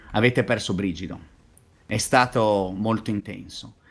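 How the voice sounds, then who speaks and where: A man's fairly low voice at a fairly slow pace. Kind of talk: role-play game narration. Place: home room. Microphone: webcam.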